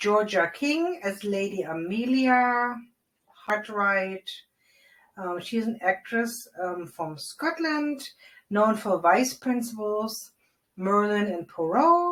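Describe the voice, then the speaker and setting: A woman with a strong non-native accent speaks at a very slow pace in a fairly high pitch, her voice making very wide pitch swings. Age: 40s. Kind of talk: casual movie review to camera. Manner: chatty, upbeat.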